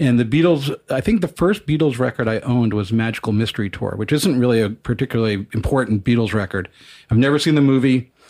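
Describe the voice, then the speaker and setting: A man with an American accent at a medium pitch, talking at a very fast pace with ordinary pitch variation, on a very clean recording with a silent background. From US Northeast, Long Island, New York. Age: 50s. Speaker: music editor and journalist. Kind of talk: casual interview.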